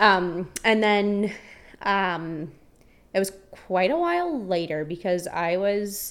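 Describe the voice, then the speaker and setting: In a Canadian accent, the speaker goes at a very slow pace with ordinary pitch variation. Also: woman, medium pitch for a woman. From rural Ontario, Canada. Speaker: barista. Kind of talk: casual chat.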